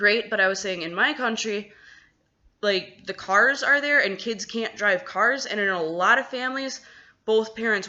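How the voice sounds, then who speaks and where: This is a woman with an American accent. Her pitch is medium, with ordinary variation. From Wisconsin, US Midwest. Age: 20s. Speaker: vlogger, American expat in China. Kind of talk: casual vlog monologue. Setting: at home, apartment. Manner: conversational, many fillers.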